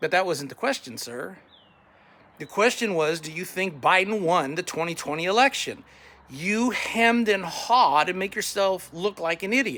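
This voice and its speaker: A high-pitched man in a raised, projected voice with lively intonation, over noticeable background noise. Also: moderate pace. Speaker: political candidate. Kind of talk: campaign message to camera. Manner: combative, blunt.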